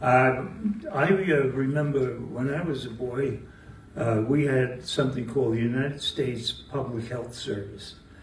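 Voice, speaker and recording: Against noticeable background noise and audible room echo, a man talks at a moderate pace with a medium pitch and fairly even intonation. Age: 80s+. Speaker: audience member, retiree. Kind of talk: audience question. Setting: live talk in library meeting room with audience. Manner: halting, many fillers.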